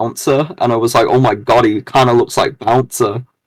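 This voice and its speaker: A man speaks at a medium pitch with a British accent. The sound is dry and close, with no echo. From Britain. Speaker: gamer content creator. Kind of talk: casual chat. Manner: halting, many fillers.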